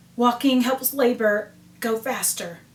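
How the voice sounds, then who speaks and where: A woman puts on a raspy character voice, pitched high, speaking at a fairly slow pace with fairly even intonation. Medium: read story.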